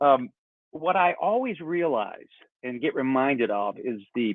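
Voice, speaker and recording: An unremarkable speaking voice, this man has an American accent, a fairly high pitch and lively intonation. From US South, North Carolina. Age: 60s. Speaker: backpacking YouTuber. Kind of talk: casual chat.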